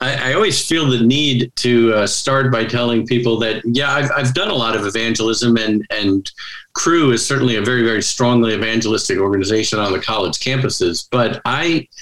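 A man with an American accent speaks at a fairly quick pace in a medium pitch, his fairly bright tone carrying ordinary pitch variation and audible room echo.

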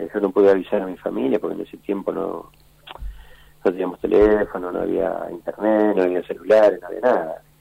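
A man speaks at a fairly quick pace. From Argentina, Buenos Aires area. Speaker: war veteran and former footballer. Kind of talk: interview testimony.

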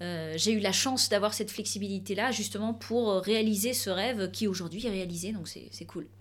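At a moderate pace, a woman talks with hardly any pauses. Her pitch varies in an ordinary way. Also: medium pitch for a woman. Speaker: opera singer and business owner. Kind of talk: interview. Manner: animated.

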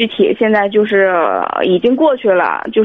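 Her voice is a normal speaking voice, fairly high in pitch for a woman. She talks at a moderate pace with ordinary pitch variation. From Tianjin. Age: 30s. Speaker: caller. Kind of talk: phone-in call. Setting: phone call.

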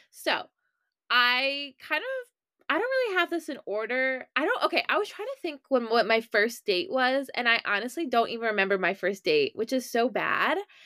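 With an American accent, a woman speaks at a high pitch in a raised, projected voice. Her pitch swings are very wide, and the sound is dry and close with no echo. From Maryland, US. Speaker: podcast host. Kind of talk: casual monologue. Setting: home bedroom. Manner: fast, filler-heavy.

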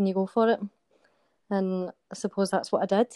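A woman with a Glaswegian accent, dark and mellow in tone, fairly quick and monotone in a flat way, in a dry, close sound with no echo. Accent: Glaswegian Scottish. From Scotland, Glasgow. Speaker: soldier. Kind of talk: interview. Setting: remote call.

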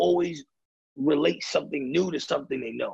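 A man speaks with a raspy, gravelly voice, a slightly husky edge, vocal fry and lively intonation.

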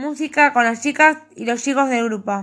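A woman speaks with a Rioplatense accent. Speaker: author. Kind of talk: reading aloud.

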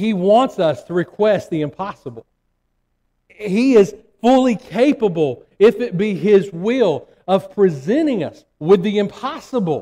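Speaking at a fairly slow pace, a man with an American accent has a high pitch, a dark, mellow tone and lively intonation. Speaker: preacher. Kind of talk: sermon. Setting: church. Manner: fervent, emphatic.

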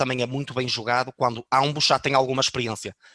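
A man's bright, sharp tone in monotone, flat intonation, with a dry, close sound and no echo. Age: 20s. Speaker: online fitness coach. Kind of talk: casual chat.

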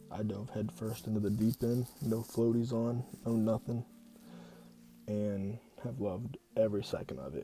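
This man talks at a moderate pace with long, frequent pauses. His pitch is medium and his intonation fairly even. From Ohio, US. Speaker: podcast host. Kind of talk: solo podcast monologue. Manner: hesitant, many fillers.

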